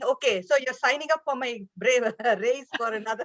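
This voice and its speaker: This woman talks with an Indian accent and a high pitch. Her intonation is lively. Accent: Indian, lilting. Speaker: business leader. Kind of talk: panel discussion. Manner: halting, many fillers.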